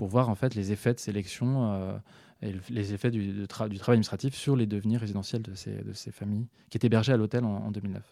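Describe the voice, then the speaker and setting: Dark and mellow in tone, a man's fairly low voice moves at a fairly quick pace with fairly even intonation. The recording is very clean, the background silent. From southern France (Occitanie). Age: 30s. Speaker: researcher. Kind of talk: interview. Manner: halting, many repetitions and fillers.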